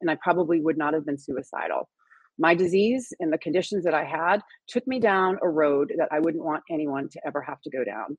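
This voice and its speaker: A woman speaks in a plain, everyday voice, fairly low in pitch, with lively intonation. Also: fairly quick pace. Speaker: cannabis nurse. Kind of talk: interview. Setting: video call.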